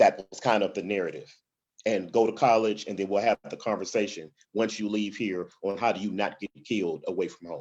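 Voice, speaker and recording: A man with an American accent talks in an ordinary speaking voice at a fairly low pitch. His loudness swings widely. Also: fairly even intonation, fairly quick pace. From Alabama and Detroit, Michigan. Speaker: panelist. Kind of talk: panel discussion.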